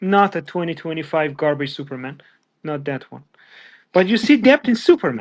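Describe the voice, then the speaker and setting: This man has a non-native accent and a fairly high pitch, speaking at a moderate pace with lively intonation and big swings in loudness. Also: quiet background. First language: not English. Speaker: pop culture podcast guest. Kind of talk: casual chat. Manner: halting.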